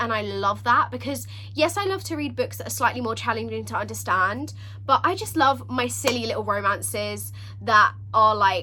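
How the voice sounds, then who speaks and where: A woman at a moderate pace, over noticeable background noise. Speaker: book vlogger. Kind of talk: casual vlog talk. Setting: filming at home with a ring light. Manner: animated.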